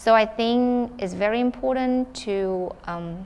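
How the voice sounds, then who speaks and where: A woman speaks with a Vietnamese accent. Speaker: student council member. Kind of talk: town hall panel discussion. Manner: halting.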